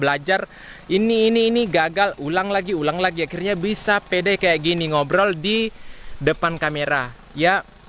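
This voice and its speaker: There's noticeable background noise as a man talks at a fairly quick pace, high in pitch with ordinary pitch variation. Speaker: farming vlogger. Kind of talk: vlog talk to camera. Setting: outdoors in rice field. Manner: loud. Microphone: action camera built-in mic, half a meter away.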